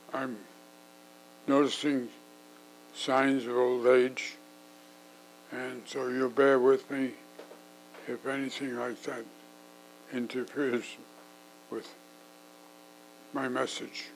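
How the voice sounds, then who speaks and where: Here a man talks at a medium pitch with monotone, flat intonation. His pace is very slow, with long, frequent pauses and light background noise. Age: 90s. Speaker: war veteran; interviewee. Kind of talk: interview. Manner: halting. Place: home room. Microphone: lapel.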